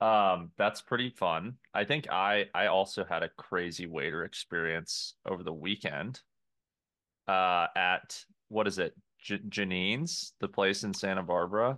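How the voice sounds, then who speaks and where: At a fairly slow pace, a man with a fairly low pitch and a bright, sharp tone speaks with ordinary pitch variation against a quiet background. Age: 20s. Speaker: podcast co-host. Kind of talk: casual banter chat. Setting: video call.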